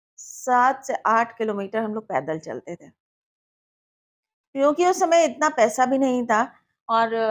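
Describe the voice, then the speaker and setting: A woman speaks with long, frequent pauses. Her loudness swings widely. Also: fairly high pitch for a woman. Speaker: radio announcer and journalist. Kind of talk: interview answer.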